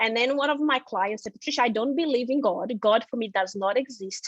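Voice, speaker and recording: A woman with a Brazilian Portuguese accent speaks with lively intonation, recorded dry and close with no echo. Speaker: financial seminar presenter. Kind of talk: personal testimony in a seminar.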